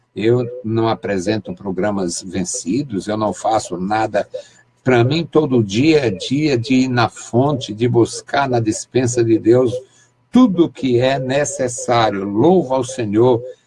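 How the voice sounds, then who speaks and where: A man's medium-pitched, somewhat breathy voice with a dark, mellow tone, ordinary pitch variation, and a very slow pace. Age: 60s. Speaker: pastor. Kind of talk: sermon.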